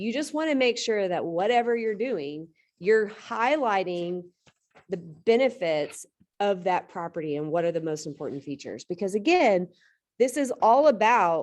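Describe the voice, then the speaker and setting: Against a quiet background, a woman with a medium pitch speaks at a moderate pace with lively intonation. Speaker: real estate trainer. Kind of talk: lecture. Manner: loud.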